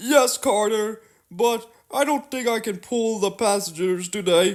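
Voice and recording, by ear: A put-on character voice, fairly high in pitch, speaks at a fairly slow pace in a very clean recording with a silent background.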